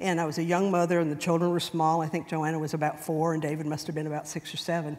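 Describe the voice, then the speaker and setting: A woman with an American accent speaks very fast at a very deep, low pitch. Her intonation is monotone and flat, and the room echo is audible. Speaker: church member speaker. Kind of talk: personal testimony talk. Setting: church class.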